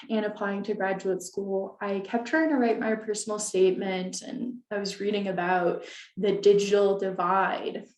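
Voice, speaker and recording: A woman's medium-pitched voice with fairly even intonation at a moderate pace, with audible room echo. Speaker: librarian presenter. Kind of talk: webinar presentation.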